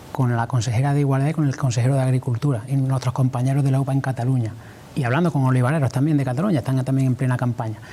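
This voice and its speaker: A man with a medium-pitched voice speaks at a very fast pace, his loudness very even and his intonation fairly even. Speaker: farmers' union leader. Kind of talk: TV interview answer.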